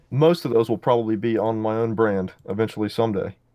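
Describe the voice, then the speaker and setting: Talking at a moderate pace, a man has an ordinary speaking voice with a medium pitch. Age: 20s. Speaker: knife designer. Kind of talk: interview.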